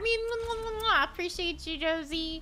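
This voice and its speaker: Speaking at a moderate pace with an American accent, a woman uses a raised, projected voice. Her tone is bright and sharp, with lively intonation. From New Jersey. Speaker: gaming streamer. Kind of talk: live gameplay stream chat. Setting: live stream. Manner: animated.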